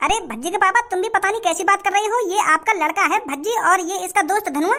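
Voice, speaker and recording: In a cartoonish character voice, a woman races along at a very fast pace with an extremely high pitch. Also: ordinary pitch variation. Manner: bewildered, mild.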